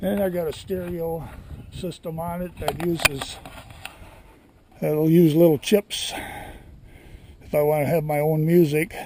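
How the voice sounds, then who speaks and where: With an American accent, a man speaks fairly slowly in a relaxed tone, his fairly high pitch held to fairly even intonation against noticeable background noise. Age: 70s. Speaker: cottage owner vlogger. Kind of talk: casual show-and-tell vlog. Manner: relaxed, halting with fillers.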